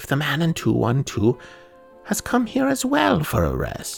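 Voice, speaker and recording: The speech moves at a fairly slow pace. Faint music plays in the background. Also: man. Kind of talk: first-person horror reading. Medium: read story. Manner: fussy, formal, musing.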